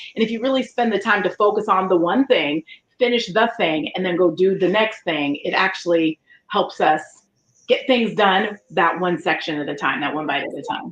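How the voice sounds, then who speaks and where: A woman's medium-pitched voice at a moderate pace, with lively intonation. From Colorado. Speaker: leadership facilitator and keynote speaker. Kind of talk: interview. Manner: loud, boisterous.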